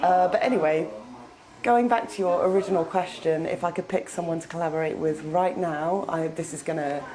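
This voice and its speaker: A woman with a British accent speaks at a fairly quick pace, her fairly low pitch showing ordinary variation. Audible room echo and noticeable background noise surround her voice. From UK. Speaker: metal band vocalist and guitarist. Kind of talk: interview.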